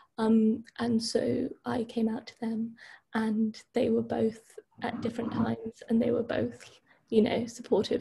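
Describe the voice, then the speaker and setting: Vocal fry runs through a woman's dark, mellow tone. She speaks at a fairly slow pace with a fairly high pitch. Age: 20s. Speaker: university student and charity volunteer. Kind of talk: interview.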